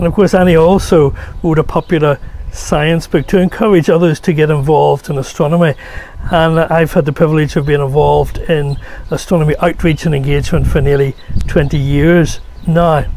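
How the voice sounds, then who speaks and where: Noticeable background noise sits behind a man with a Northern Irish accent. He talks at a fairly quick pace with fairly even intonation. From Northern Ireland. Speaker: solar physicist. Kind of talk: award acceptance speech.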